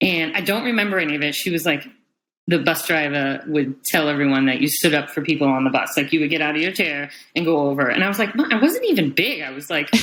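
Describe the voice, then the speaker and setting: This woman has a very deep, low pitch with ordinary variation. She talks very fast with an American accent. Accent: Northeastern US accent, trying to lose it. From US Northeast. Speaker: operating room nurse. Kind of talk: podcast interview. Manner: casual, many fillers.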